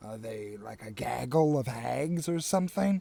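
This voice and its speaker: A man performs a put-on character voice. It sits at a medium pitch and moves at a moderate pace. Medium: actual play.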